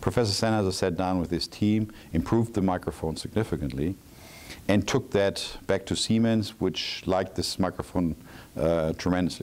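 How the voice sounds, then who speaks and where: Speaking at a moderate pace, a man with a very deep, low pitch keeps his loudness very even and his pitch variation ordinary. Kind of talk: interview answer. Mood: calm, proud storytelling. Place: hall. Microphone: lapel.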